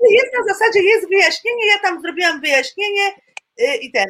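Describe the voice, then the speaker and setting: This woman's voice has a bright, sharp tone. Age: 50s. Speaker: flight attendant. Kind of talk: testimony. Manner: halting.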